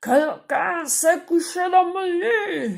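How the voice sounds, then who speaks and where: Pitched extremely high, the speaker delivers a put-on character voice at a very slow pace. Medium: read story.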